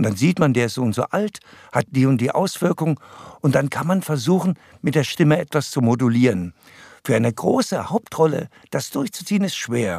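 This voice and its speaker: A man with a fairly high voice speaks at a moderate pace with very wide pitch swings, the sound dry and close with no echo on a very clean recording with a silent background. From Saxony, Erzgebirge (eastern Germany). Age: 70s. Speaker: actor and voice actor. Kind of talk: casual interview.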